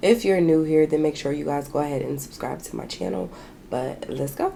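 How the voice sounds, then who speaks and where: A woman talks at a fairly quick pace in a very deep, low pitch with ordinary pitch variation. Noticeable background noise sits behind her. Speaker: beauty vlogger. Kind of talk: makeup tutorial with casual chat. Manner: casual, chatty.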